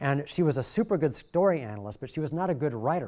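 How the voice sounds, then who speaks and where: A man with an American accent speaks in a dark, mellow tone with lively intonation, in a very clean recording with a silent background. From Michigan. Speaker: workshop presenter, video director. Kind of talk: workshop lecture. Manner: fast.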